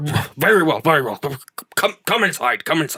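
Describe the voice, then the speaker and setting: Here a man puts on a character voice at a fairly high pitch. He moves at a fairly quick pace. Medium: actual play. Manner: stammering, blustering.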